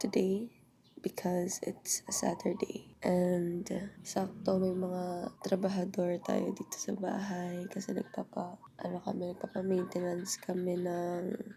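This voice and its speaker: Somewhat breathy and dark, mellow in tone, a woman speaks at medium pitch and a fairly slow pace with monotone, flat intonation. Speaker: lifestyle vlogger. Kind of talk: casual vlog talk. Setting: at home. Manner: chatty, halting with fillers.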